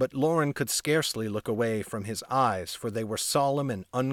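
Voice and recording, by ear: Someone reads aloud in a natural voice, and the pitch varies in an ordinary way.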